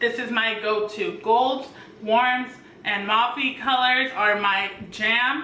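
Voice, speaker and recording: A woman with a fairly high pitch speaks at a very slow pace. Noticeable background noise and audible room echo fill the recording. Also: ordinary pitch variation. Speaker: beauty youtuber. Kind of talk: makeup tutorial. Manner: halting, stumbling over words.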